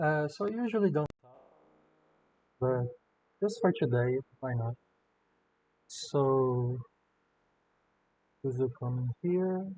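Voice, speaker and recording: A man with a non-native accent speaks at a very slow pace, with long, frequent pauses. His voice is somewhat breathy and his intonation lively. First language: not English. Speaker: artist drawing tutorial. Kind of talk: drawing commentary. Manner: hesitant, many fillers. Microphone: slightly far away mic, no post production.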